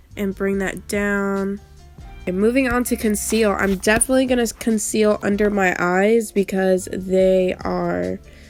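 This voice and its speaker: A woman at a very slow pace, medium in pitch, with fairly even intonation and music in the background. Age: 20s. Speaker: YouTuber. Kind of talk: casual tutorial talk to camera.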